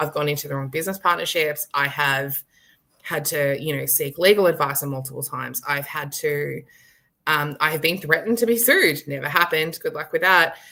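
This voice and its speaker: A bright, sharp tone comes at a fairly quick pace with an Australian accent. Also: woman, very deep, low pitch for a woman, ordinary pitch variation. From Australia, rural Victoria. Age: 30s. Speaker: author and visibility expert. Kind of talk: casual chat. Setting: live stream video call. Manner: animated.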